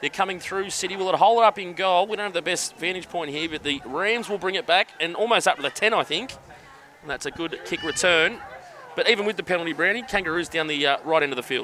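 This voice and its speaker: Over noticeable background noise, a man with a high pitch and ordinary pitch variation speaks in an upbeat tone at a very fast pace. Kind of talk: live sports commentary. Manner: fast play-by-play calling, upbeat, chatty with filler.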